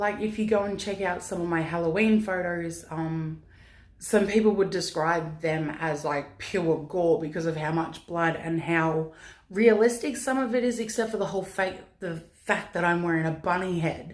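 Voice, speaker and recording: A woman talks at a moderate pace in a fairly low voice with ordinary pitch variation. Audible echo from the room surrounds her speech. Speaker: vlogger, pin-up model. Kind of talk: casual Q&A vlog. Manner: loud.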